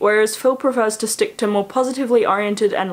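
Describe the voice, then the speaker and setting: At a fairly quick pace, a woman talks with an Australian accent. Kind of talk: school essay read aloud.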